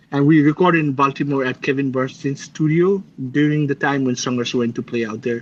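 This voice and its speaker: Speaking fairly quickly with a Nepali accent, a man shows ordinary pitch variation against a quiet background. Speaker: metal guitarist. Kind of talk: interview. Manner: halting, many fillers and restarts.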